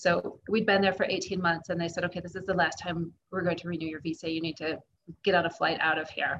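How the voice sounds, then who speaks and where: A somewhat breathy woman with an American accent, fairly low pitch, fairly even intonation and a very fast pace. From US, Kansas. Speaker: traveling parent. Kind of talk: interview.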